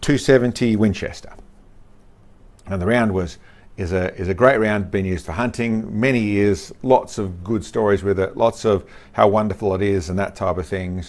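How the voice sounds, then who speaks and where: At a moderate pace and with ordinary pitch variation, this is an ordinary speaking voice. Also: man. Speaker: channel host. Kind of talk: explanatory talk to camera. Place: studio.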